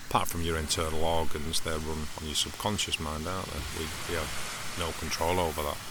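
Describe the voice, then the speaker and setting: A quiet, very deep, low male voice with an English accent, in a flat monotone, with audible room echo and noticeable background noise. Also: fairly quick pace. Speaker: mindfulness podcaster. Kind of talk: casual reflective monologue. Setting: outdoors by the seaside.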